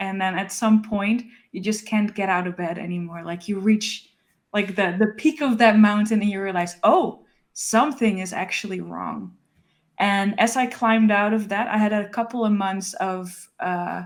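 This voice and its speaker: In a Dutch accent, a woman talks at a moderate pace and medium pitch with fairly even intonation, on a very clean recording with a silent background. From Netherlands. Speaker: illustrator, author. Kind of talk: casual interview chat.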